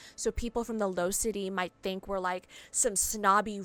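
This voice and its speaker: A woman talks at a moderate pace with ordinary pitch variation. Hers is a normal speaking voice. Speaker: video game streamer. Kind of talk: live gameplay commentary, reading game text aloud. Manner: casual, thinking aloud with fillers.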